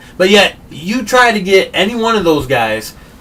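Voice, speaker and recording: An American-accented man talks at a fairly slow pace in an animated tone over noticeable background noise. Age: 30s. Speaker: political talk show host. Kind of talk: heated debate.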